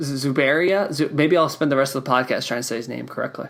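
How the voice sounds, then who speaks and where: A man talks with ordinary pitch variation. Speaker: podcast host. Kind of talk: casual chat. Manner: fast; halting.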